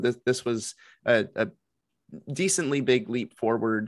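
On a very clean recording with a silent background, a man talks in a normal speaking voice. His pitch shows ordinary variation. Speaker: podcast co-host. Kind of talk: casual chat.

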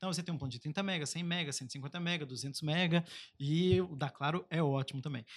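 A man speaks in an unremarkable speaking voice at a fairly quick pace. His pitch sits fairly high, with ordinary pitch variation. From Brazil, Baixada Fluminense (Rio de Janeiro). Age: 30s. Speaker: digital innovation advocate, former government official. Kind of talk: casual podcast interview.

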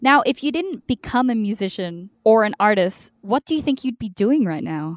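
A woman's animated, fairly high-pitched voice with very wide pitch swings, in a dry, close sound with no echo. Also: moderate pace. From Australia. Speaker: podcast host. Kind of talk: interview.

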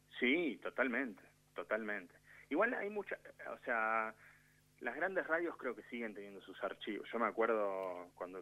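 Man with a Rioplatense accent at a moderate pace. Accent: Argentine Spanish (rioplatense). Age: 30s. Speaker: radio producer. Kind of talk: casual chat.

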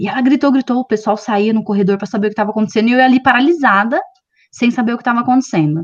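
A woman with a fairly high pitch races along at a very fast pace, using ordinary pitch variation. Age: 30s. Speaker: career content creator. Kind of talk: casual chat.

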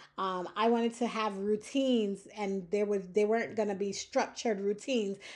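A woman with a normal speaking voice, a medium pitch and fairly even intonation, against a quiet background. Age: 40s. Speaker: podcast host. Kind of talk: casual monologue.

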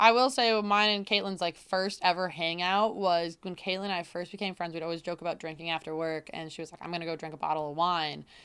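A woman's fairly low voice at a very fast pace, with fairly even intonation, big swings in loudness and hardly any pauses. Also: very clean recording, silent background. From central New York. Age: 20s. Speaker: podcast co-host. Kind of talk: casual chat. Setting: recording at home.

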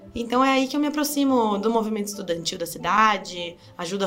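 A woman speaks at a fairly quick pace, with audible echo in the room. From Brazil, Sorocaba (São Paulo state). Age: 20s. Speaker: political candidate. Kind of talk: interview.

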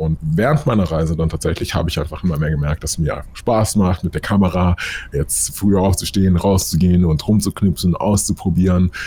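Against noticeable background noise, a man with a very deep, low pitch talks at a fairly quick pace with ordinary pitch variation. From Munich, Bavaria. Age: 20s. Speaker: photographer and videographer. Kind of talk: interview.

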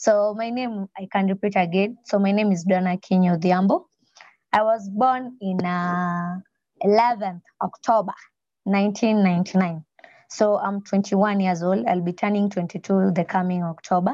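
In a Kenyan accent, a woman speaks at a moderate pace with a medium pitch and a dark, mellow tone, the sound dry and close with no echo. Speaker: student and entrepreneur. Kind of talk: slide presentation. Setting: video call. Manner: excited, nervous, animated.

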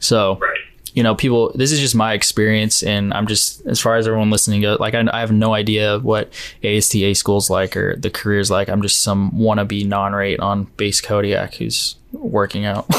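A man talks at a moderate pace with a Californian accent. His pitch is fairly low, his loudness very even, and his intonation flat and monotone. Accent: Californian American English. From California central coast. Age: 20s. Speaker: coast guard rescue swimmer trainee. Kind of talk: casual interview.

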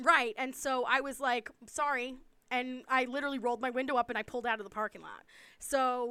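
A woman with an American accent uses a raised, projected voice at a high pitch, with a bright, sharp tone, fairly even intonation and a fairly quick pace. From US East Coast. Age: 40s. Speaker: podcast co-host. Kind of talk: casual chat.

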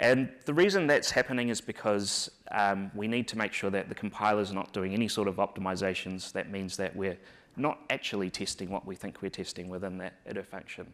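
A man with a New Zealand accent talks at a fairly quick pace in a fairly low pitch. The recording is very clean, with a silent background. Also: ordinary pitch variation. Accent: New Zealand, noticeable. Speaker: software engineer and conference speaker. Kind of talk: conference tech talk. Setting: conference stage with audience. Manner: halting, many filler words and repeats.

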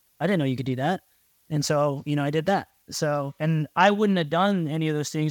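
Delivered in an ordinary speaking voice with an American accent, the speech moves at a fairly quick pace in a very clean recording with a silent background and a dry, close sound with no echo. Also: man. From US, small farm town. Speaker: air force officer. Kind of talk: casual interview.

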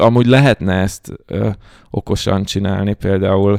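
This man has a fairly low pitch and a dark, mellow tone. The recording is very clean with a silent background, and the sound is dry and close with no echo. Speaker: data science educator. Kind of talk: casual chat.

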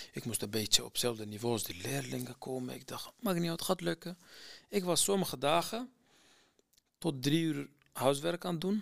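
With a Kurdistan accent, a man speaks at a moderate pace. His pitch swings are very wide. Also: very clean recording, silent background. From Iraqi Kurdistan, near Mosul. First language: Kurdish (speaking Dutch). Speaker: former refugee student. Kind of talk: personal testimony. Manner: halting, many hesitations.

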